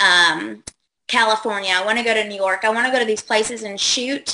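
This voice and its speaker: Speaking with a Southern accent, a woman uses a medium pitch, fairly even intonation and a bright, sharp tone at a moderate pace. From Kentucky. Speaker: model. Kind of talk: casual chat.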